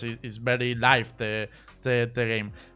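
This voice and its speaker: Music plays behind a man speaking at a medium pitch. His intonation is flat and monotone. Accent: Spanish. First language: Spanish. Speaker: esports streamer interviewer. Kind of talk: live stream interview. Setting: voice call. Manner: halting.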